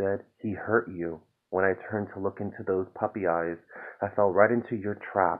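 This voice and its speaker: A man with a fairly low pitch talks at a moderate pace in a calm tone. His intonation is fairly even, and the background is quiet. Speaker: poet reading own work. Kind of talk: spoken word poetry reading, raw confessional and angry. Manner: builds from calm intro to bitter, exasperated intensity; rhythmic, repetitive incantation of refrains. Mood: calm, weary, reflective. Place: home room. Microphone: phone near.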